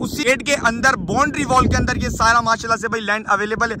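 Extremely high for a man, this voice has a bright, sharp tone and fairly even intonation. He talks fast with faint background noise.

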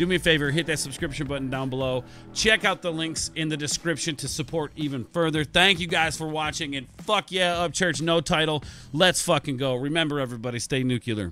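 Over faint background music, a man speaks with ordinary pitch variation in a dry sound with no echo. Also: fairly quick pace. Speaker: music reaction youtuber. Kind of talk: casual reaction commentary. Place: home room. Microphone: studio mic.

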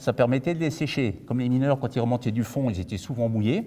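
A man talks in a dark, mellow tone. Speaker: museum guide. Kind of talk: guided tour explanation. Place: hall. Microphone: lapel.

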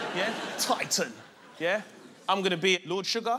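A man speaks in a raised, projected voice. Noticeable background noise runs behind him. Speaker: TV host. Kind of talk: comedy show banter. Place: stage. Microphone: lapel.

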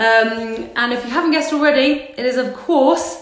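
A woman's high voice with audible room echo. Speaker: livestream host. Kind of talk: casual livestream introduction. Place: home room. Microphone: phone near.

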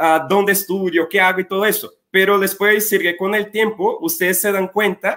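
A man's high-pitched, bright, sharp voice with a Portuguese accent at a fairly quick pace. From Brazil. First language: Portuguese (speaking Spanish). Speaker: college representative. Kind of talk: informational webinar.

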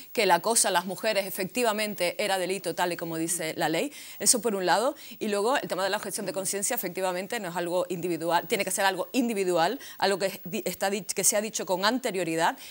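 Her delivery is very fast. This woman has a medium pitch that varies in an ordinary way. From Canary Islands. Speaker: feminist activist and spokesperson; spokesperson. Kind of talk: panel discussion. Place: studio. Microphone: lapel.

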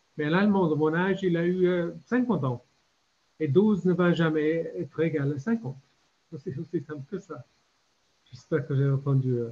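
Here a man with an English accent talks at a fairly slow pace, his fairly high voice dark and mellow in tone. Long pauses come often. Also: ordinary pitch variation. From Ireland. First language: English (speaking French). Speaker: retired diplomat; conference panelist. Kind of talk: panel discussion. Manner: halting. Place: home room. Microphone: video call.

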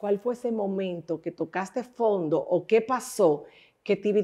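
Against a quiet background, a woman with a dark, mellow tone speaks at a fairly slow pace with ordinary pitch variation. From Dominican Republic. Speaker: radio and TV talk show host; radio, TV talk show host. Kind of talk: interview. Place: studio. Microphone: lapel.

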